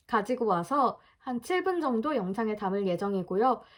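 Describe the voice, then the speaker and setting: A woman's voice with very wide pitch swings, at a fairly slow pace. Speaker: vlogger practicing pronunciation. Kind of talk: casual vlog talk.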